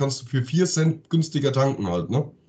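A man speaks at a fairly quick pace in a medium-pitched voice. The tone is dark and mellow, and somewhat breathy. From Offenbach, Hesse, Germany. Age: 40s. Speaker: podcast co-host. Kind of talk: casual chat.

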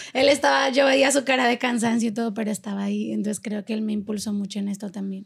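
This woman talks at a very fast pace. She leaves hardly any pauses. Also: fairly high pitch for a woman, ordinary pitch variation. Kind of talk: casual interview chat.

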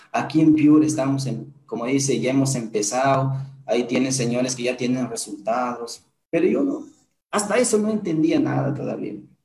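A man's medium-pitched voice with ordinary pitch variation, in audible room echo. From Peru, Huancabamba (Piura highlands). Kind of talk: motivational testimony. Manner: animated.

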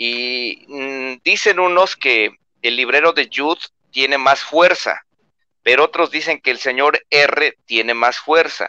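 A man with a Mexican accent speaks at a fairly slow pace in a fairly high pitch, with ordinary pitch variation, a bright, sharp tone, and a dry, close sound with no echo. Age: 20s. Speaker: booktuber. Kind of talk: casual chat. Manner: animated.

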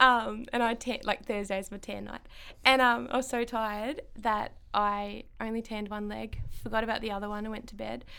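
A woman with an Australian accent talks at a moderate pace in a fairly high pitch, her tone bright and sharp. Her intonation stays monotone and flat while her loudness swings widely. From Ballarat, Victoria, Australia. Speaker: eyebrow salon owner. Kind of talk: casual interview chat. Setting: studio.

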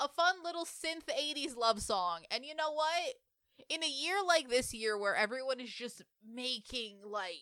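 A woman in a high pitch uses a raised, projected voice with a bright, sharp, animated tone, very wide pitch swings and hardly any pauses, at a fairly slow pace. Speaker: podcast co-host. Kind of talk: casual chat.

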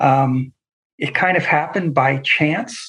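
A man with an American accent speaks at a fairly slow pace. His voice is somewhat breathy, with ordinary pitch variation. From US. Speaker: pastor. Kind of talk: interview.

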